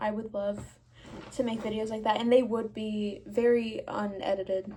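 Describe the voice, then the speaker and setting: Somewhat breathy and fairly high, a woman's dark, mellow voice moves at a moderate pace. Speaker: artist and vlogger. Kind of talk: casual vlog talk to camera. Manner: pausing and rambling.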